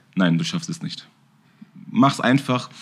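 A plain, everyday voice moves at a fairly quick pace with lively intonation, captured on a very clean recording with a silent background. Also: man. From Bavaria, Germany. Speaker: kickboxing champion and gym owner. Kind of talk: casual chat.

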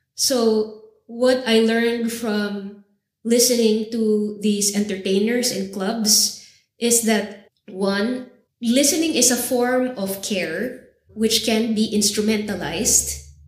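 Very slowly, a woman speaks at a fairly high pitch with fairly even intonation. Audible room echo surrounds her voice. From Philippines, Manila. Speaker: vocal artist and cultural geographer. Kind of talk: interview conversation. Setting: university recording session.

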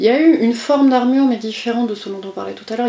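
A woman talks at a fairly high pitch while noticeable background noise carries on behind her. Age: 40s. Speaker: coach and HR consultant. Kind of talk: interview conversation. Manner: halting with repetitions.

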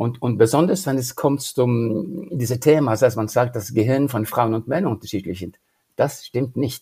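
A man's somewhat breathy, dark, mellow voice at a medium pitch, fairly slow pace, and ordinary pitch variation. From Norway. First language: Norwegian (speaking German). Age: 70s. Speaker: leadership career coach. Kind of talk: interview. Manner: halting.

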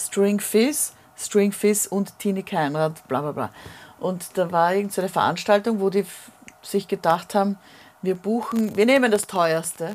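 A woman talks at a fairly slow pace with ordinary pitch variation. She has an ordinary speaking voice. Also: medium pitch for a woman. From Vienna, Grinzing. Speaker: singer. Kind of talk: casual chat.

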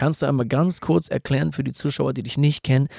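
A man's dark, mellow voice at medium pitch, with a fairly quick pace, ordinary pitch variation, a dry, close sound with no echo, and a very clean recording with a silent background. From Hamburg, northern Germany. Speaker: tattoo artist and real estate entrepreneur. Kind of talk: casual chat.

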